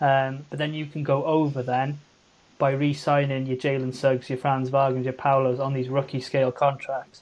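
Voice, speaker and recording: At a moderate pace, a man with a fairly high pitch and a slight Welsh accent speaks in a monotone, flat way. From Wales. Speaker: podcast co-host. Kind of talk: casual chat.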